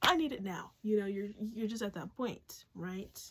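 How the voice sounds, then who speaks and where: A woman's somewhat breathy voice. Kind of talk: casual spiritual talk with lyric reading. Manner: fast; casual, filler-heavy.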